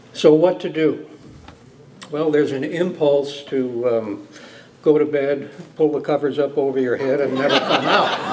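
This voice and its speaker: There is noticeable background noise and audible room echo. A man talks at a fairly high pitch and moderate pace, with long, frequent pauses. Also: fairly even intonation. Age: 60s. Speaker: judge. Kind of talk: after-dinner speech. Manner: halting, frequent fillers.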